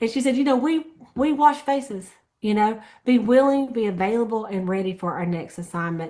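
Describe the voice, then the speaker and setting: A woman speaks at a moderate pace with a fairly high pitch, lively intonation and an unremarkable speaking voice. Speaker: sales team leader. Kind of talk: team meeting recap.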